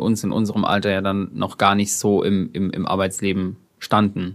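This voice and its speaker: With a fairly low pitch, a man talks at a moderate speed. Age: 20s. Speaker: podcast co-host. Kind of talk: casual chat.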